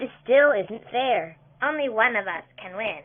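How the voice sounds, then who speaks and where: A female-sounding voice puts on a cartoonish character voice at a fairly high pitch. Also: moderate pace. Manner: loud, excitable.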